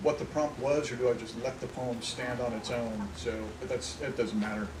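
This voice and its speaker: Someone with an American accent speaks at a moderate pace with lively intonation over noticeable background noise. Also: man. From Indiana, US. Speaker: poet. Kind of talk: casual talk to audience. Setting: outdoors.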